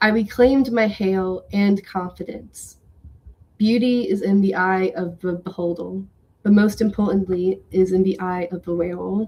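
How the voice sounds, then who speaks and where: A woman with an American accent speaks at a medium pitch in a dark, mellow tone, her intonation fairly even. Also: moderate pace. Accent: slight Southern, comes out when angry. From US South. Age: 20s. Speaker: writer. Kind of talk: reading aloud; casual chat.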